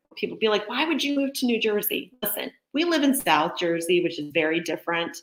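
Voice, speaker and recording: A woman talks in an ordinary speaking voice at a moderate pace. Her intonation is lively. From Montana, US. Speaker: real estate agent hosting a local business livestream. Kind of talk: live stream presentation. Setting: home office, live video stream. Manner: casual, chatty.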